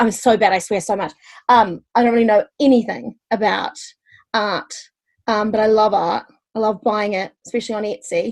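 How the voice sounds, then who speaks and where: A woman speaks with a New Zealand accent and a fairly high pitch. Her pace is moderate and her intonation fairly even. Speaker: stand-up comedian. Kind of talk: casual interview chat. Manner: hesitant, many fillers.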